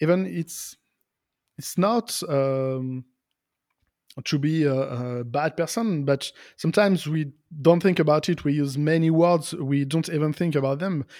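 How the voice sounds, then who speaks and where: A man in a French accent speaks at a fairly slow pace with fairly high pitch, ordinary pitch variation and long, frequent pauses. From France, near Lyon. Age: 40s. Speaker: software developer and podcaster. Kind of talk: interview. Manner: halting.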